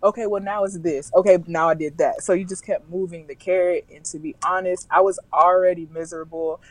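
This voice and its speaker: A woman with an American accent speaks in a plain, everyday voice at a medium pitch, with fairly even intonation. Her pace is fairly quick with hardly any pauses, and her loudness swings widely. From US South, Alabama. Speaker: travel blogger and corporate professional. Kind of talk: casual interview conversation.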